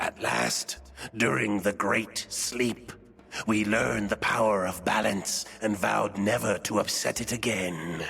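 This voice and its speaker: A man uses a put-on character voice at a fairly low pitch. Clear music plays in the background. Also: fairly slow pace. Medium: video game. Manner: solemn, measured.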